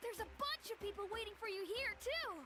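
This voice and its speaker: A squeaky, put-on character voice sits at an extremely high pitch. It moves at a fairly quick pace over loud background noise. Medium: video game. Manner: upbeat, bustling.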